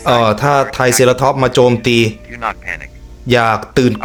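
With music in the background, a man speaks in a monotone, flat intonation at very even loudness. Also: medium pitch for a man. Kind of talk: casual reaction commentary to camera. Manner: casual, joking.

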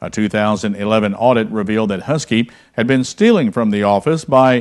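Against a quiet background, a man talks at a moderate pace with lively intonation. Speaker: news anchor. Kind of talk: local TV newsreading, polished anchor delivery with a warm sign-off. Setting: studio. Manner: formal; steady, clear. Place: studio.

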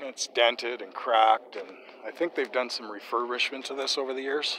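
A man talks at a moderate pace with a dry sound and no echo. There is light background noise. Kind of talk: casual vlog chat. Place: open country. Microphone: phone near.

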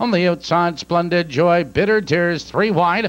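Moderately paced speech from a man, high in pitch with ordinary variation. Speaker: harness race announcer. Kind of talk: live horse race call.

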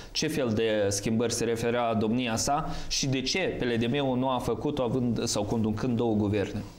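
A man speaks at a fairly slow pace with fairly even intonation. His loudness stays very even. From Moldova. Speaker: TV host. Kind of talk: TV talk show moderation. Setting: TV studio. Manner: formal. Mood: calm, formal. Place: studio.

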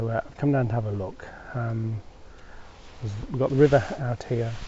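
Somewhat breathy, a man talks at a fairly quick pace in a dry sound with no echo, with light background noise. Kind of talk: casual vlog chat. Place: open country. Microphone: lapel.

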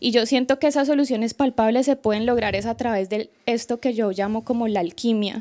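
A woman speaks fast with hardly any pauses, in a Colombian accent. Her pitch is fairly high, her tone dark and mellow, and her intonation fairly even. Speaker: student, audience member; audience member. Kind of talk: audience question. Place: hall.

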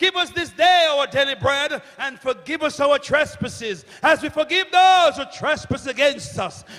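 The man's pitch is extremely high, with lively intonation. His tone is bright and sharp, and his pace fairly slow.

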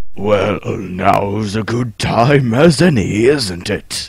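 A man speaks in a put-on character voice at medium pitch. His pace is very slow. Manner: menacing then smug.

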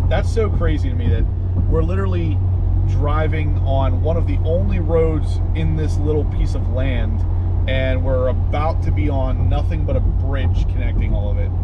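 Loud background noise surrounds the man as he talks at a moderate pace. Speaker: car vlogger driving. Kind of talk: casual vlog chat. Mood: excited, upbeat.

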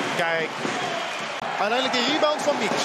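Speech moves at a moderate pace under loud background noise. The sound is dry, with no echo. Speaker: sports commentator. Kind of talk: live commentary. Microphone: headset.

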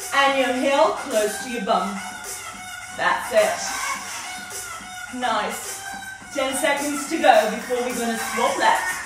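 A woman at a very slow pace, with audible room echo and clear music in the background. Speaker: fitness instructor. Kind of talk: workout instruction. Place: home room. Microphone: camera far.

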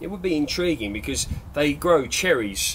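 A man with an English accent speaks at a moderate pace over light background noise. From England. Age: 30s. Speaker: allotment gardener and video maker. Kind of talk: gardening tutorial. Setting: polytunnel on allotment, filmed on camera. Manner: casual, with fillers and repetitions. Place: garden.

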